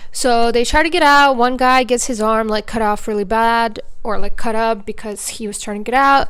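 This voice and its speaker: A woman with a non-native accent and fairly even intonation, hardly pausing. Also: moderate pace. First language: not English. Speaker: movie reviewer YouTuber. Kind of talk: casual video review monologue. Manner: casual, filler-heavy.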